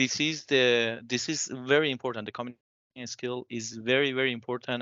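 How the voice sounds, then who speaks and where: A non-native accent with fairly even intonation. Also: man. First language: not English. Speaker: bioengineering PhD graduate working in industry. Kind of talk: panel discussion. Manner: halting.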